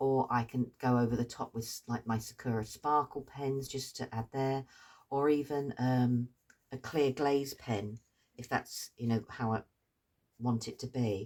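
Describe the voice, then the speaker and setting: In a British accent, a woman speaks with a very deep, low pitch, monotone, flat intonation and a fairly slow pace. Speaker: craft tutor. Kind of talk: tutorial. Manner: hesitant fillers; slow, relaxed.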